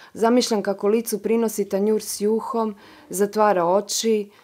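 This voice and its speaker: A woman speaks at a medium pitch in a normal speaking voice. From Croatia. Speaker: author reading her own short story. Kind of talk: dramatic narration of literary prose, reading aloud.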